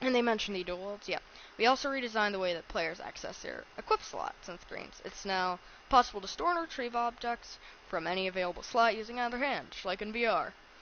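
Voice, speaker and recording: Against noticeable background noise, a woman talks at a very fast pace in a fairly high pitch, her intonation lively and her loudness swinging widely. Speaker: gaming streamer. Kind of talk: reading aloud. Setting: live stream.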